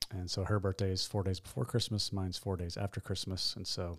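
Somewhat breathy and fairly quick, the voice keeps a monotone, flat intonation on a very clean recording with a silent background. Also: man. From Tennessee, Nashville area. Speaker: pastor. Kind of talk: interview.

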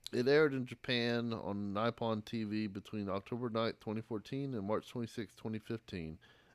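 A man with an American accent and a plain, everyday voice, medium in pitch, fairly even in intonation, at a moderate pace, on a very clean recording with a silent background. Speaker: podcast host. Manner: joking.

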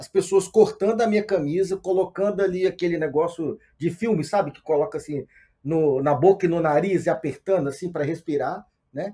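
With a dark, mellow tone, a man speaks in a high pitch at a moderate pace. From Brazil, Minas Gerais (Montes Claros). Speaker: control and automation engineer in tech. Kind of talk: podcast interview. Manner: halting, many repetitions.

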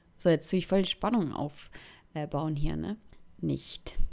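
A woman speaks at a fairly slow pace, her pitch swinging very widely. The recording is very clean, with a silent background. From Switzerland, Thurgau. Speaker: podcaster. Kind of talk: casual monologue. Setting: bedroom.

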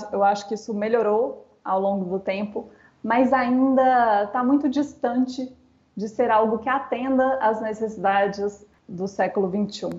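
In an ordinary speaking voice, a woman talks fairly slowly at a fairly high pitch. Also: fairly even intonation. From Brazil. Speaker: education trainer, Montessori specialist. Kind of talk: interview.

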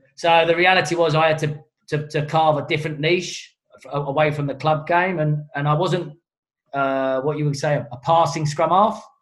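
With a London accent, a man speaks at a moderate pace in a fairly high pitch, his intonation flat and monotone. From southeast London. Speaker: rugby coach. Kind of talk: casual chat. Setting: video call.

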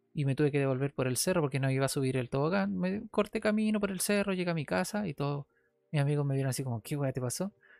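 Recorded very cleanly against a silent background, a man with a Chilean accent speaks at a fairly high pitch, his pitch swinging very widely in a dry, close sound with no echo. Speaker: podcast host. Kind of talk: casual solo monologue. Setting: his bedroom at home.

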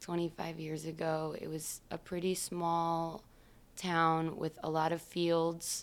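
A woman at a very slow pace, in a very clean recording over a silent background. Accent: American. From US Midwest, Michigan. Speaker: musician. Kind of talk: casual chat.

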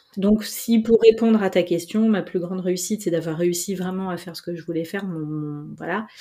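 A woman talks at a moderate pace and medium pitch. Her tone is dark and mellow, with fairly even intonation. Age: 40s. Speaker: journalist and entrepreneur. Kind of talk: interview.

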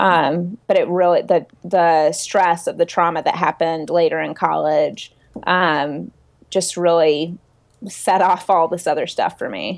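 A plain, everyday voice at a fairly slow pace, with fairly even intonation. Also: woman, fairly low pitch for a woman. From US South. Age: 30s. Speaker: body-image activist and writer. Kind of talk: interview. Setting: video call.

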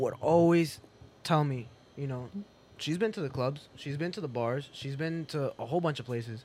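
A man with an American accent talks at a moderate pace in a normal speaking voice, his pitch moving in an ordinary way. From Boston. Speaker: DJ. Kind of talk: casual chat. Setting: studio.

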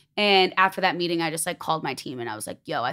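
Delivered at a very fast pace with an American accent, the speech sits on a very clean recording with a silent background. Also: woman. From Chicago. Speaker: influencer and clothing brand founder. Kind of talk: casual chat. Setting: studio.

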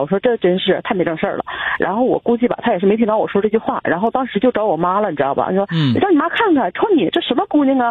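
A woman's very fast speech at a fairly high pitch with very wide pitch swings, over noticeable background noise. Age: 30s. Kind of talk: call-in personal problem story. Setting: phone call. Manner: halting.

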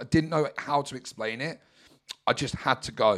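A man with a southern English accent talks at a fairly quick pace in a medium pitch. His pitch variation is ordinary, and the recording is very clean with a silent background. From Brighton, England. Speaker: mindset coach. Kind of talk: personal monologue.

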